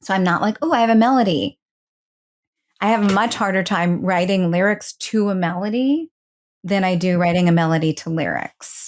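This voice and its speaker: An ordinary speaking voice with ordinary pitch variation at a moderate pace, on a very clean recording with a silent background. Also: woman, medium pitch for a woman. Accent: American. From New York City. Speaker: singer-songwriter and voiceover artist. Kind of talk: interview answer. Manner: casual, conversational.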